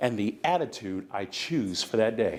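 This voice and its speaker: A man talks with an American accent in an animated tone. His pitch swings very widely. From US West Coast, San Francisco Bay Area. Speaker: motivational speaker. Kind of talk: motivational speech. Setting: conference stage with audience. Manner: repetitive, preacher-like cadence.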